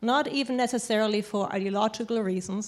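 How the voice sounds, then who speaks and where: In a German accent, a woman speaks at a medium pitch and a moderate pace with fairly even intonation. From Germany. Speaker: panelist on immigration. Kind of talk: panel discussion.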